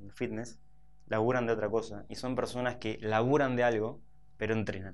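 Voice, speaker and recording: This man has an unremarkable speaking voice at a medium pitch. He talks at a moderate pace with fairly even intonation. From Buenos Aires, Argentina (Saavedra); Buenos Aires. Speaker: fitness trainer and entrepreneur; fitness trainer. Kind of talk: interview. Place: studio.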